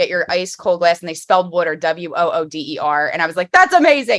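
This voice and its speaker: Speaking very fast with a Philadelphia accent, a woman uses a fairly low pitch and a bright, sharp tone. Her pitch varies in an ordinary way. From Philadelphia area, US. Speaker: podcast host. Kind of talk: casual chat. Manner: animated.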